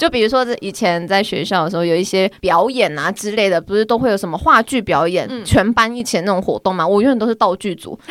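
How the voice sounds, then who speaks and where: With noticeable background noise, the speaker talks at a very fast pace with hardly any pauses and ordinary pitch variation. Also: woman, medium pitch for a woman. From Taiwan. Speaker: office worker and amateur badminton player. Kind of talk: casual chat.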